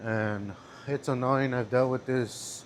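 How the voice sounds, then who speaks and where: This is a man with a Spanish accent. His voice sits at a medium pitch. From California. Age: 20s. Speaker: vlogger. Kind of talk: casual vlog monologue. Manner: flat, even delivery; halting, with fillers.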